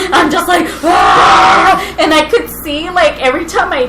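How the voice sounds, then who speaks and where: The voice is loud and fairly slow, with lively intonation. Audible room echo and noticeable background noise come through. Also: woman. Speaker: podcast co-host. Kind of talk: casual chat. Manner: animated.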